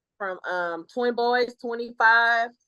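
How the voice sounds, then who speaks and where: In an American accent, a woman speaks at a very slow pace with a dry, close sound and no echo. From Texas, Dallas (Oak Cliff). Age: 40s. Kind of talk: interview conversation. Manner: loud.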